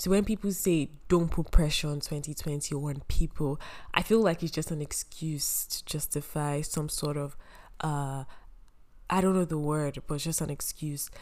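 Her pitch is very deep and low for a woman, and her intonation stays fairly even at a moderate pace. The recording is very clean against a silent background. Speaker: podcast host, university student. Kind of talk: casual solo podcast monologue.

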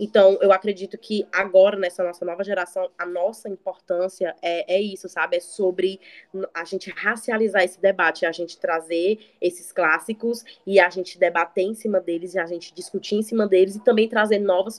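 At a moderate pace, a woman with an unremarkable speaking voice speaks at medium pitch with fairly even intonation, in a dry, close sound with no echo. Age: 20s. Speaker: recent geography graduate. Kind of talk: casual chat.

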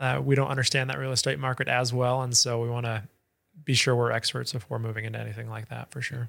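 Over a silent background in a very clean recording, a man with an American accent talks at a very fast pace. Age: 20s. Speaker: startup founder. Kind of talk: interview.

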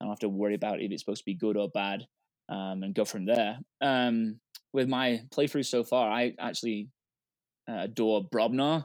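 A man with an English accent speaks at a moderate pace with ordinary pitch variation. The recording is very clean and silent behind him, with a dry, close sound and no echo. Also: medium pitch for a man. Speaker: board game newcomer. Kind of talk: casual round-table chat.

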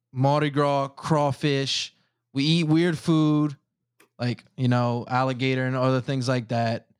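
A man with a plain, everyday voice talks at a fairly slow pace with medium pitch and fairly even intonation. The recording is very clean, with a silent background. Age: 20s. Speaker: engineer and podcast host. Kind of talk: casual chat.

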